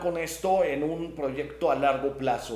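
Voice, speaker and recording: Audible echo from the room surrounds the voice. The speaker is a man. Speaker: spiritual teacher and channel host. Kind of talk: live stream chat reading comments.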